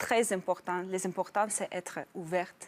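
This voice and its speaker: A woman in a Russian accent at a fairly slow pace, dry and close with no echo, on a very clean recording with a silent background. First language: Russian (speaking French). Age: 30s. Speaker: program participant, newcomer immigrant. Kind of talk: TV interview. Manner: halting.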